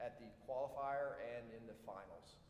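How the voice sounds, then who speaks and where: Audible room echo surrounds a man speaking at fairly high pitch. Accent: South Georgia. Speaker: army officer, military science professor. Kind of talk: ceremony speech. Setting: auditorium stage with audience. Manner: halting, many fillers.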